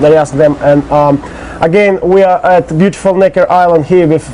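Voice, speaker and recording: A man with a Russian accent speaks at a moderate pace with fairly even intonation. Noticeable background noise is present. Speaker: interviewer. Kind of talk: interview. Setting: on location on an island.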